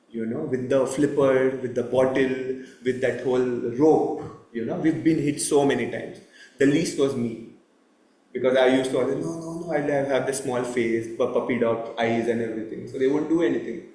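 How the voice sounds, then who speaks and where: A man's medium-pitched voice, fairly even in intonation, at a moderate pace with audible room echo. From India. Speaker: temple lecturer. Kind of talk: religious talk. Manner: loud.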